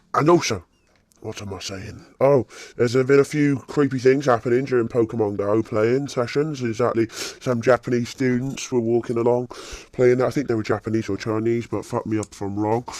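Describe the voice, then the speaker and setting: A man with a British accent speaks at a medium pitch in fairly even intonation. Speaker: gaming YouTuber. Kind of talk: casual gameplay commentary. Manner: casual, halting with fillers.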